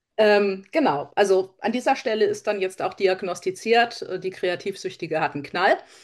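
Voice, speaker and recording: In a quiet background, a woman of medium pitch talks at a moderate pace with ordinary pitch variation and hardly any pauses. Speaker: crafter, podcast co-host. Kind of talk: casual chat.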